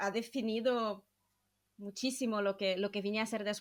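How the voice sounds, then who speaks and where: Her voice sits at a fairly high pitch, and the woman keeps her intonation fairly even. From southern Brazil. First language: Portuguese (speaking Spanish). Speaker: podcast host, psychologist. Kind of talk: casual interview chat.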